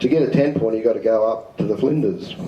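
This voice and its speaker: An Australian accent with audible room echo. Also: man. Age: 60s. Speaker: presenter at amateur radio symposium. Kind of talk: talk with audience questions. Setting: community centre room with audience.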